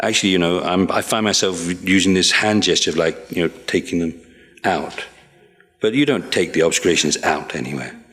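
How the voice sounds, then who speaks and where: Against noticeable background noise, a man with a very deep, low pitch talks at a fairly quick pace with ordinary pitch variation. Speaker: Buddhist monk teacher. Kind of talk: dharma teaching review session. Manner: halting; fast.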